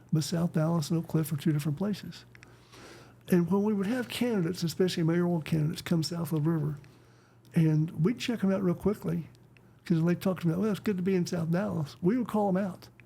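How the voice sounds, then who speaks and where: With a Texan accent, a man talks at a very fast pace in a high pitch with a dark, mellow tone. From West Texas. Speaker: conservationist, author and performer. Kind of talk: casual interview chat. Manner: animated storytelling.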